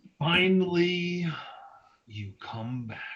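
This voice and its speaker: A man puts on a character voice pitched high. The intonation of the act is lively. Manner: grand, commanding.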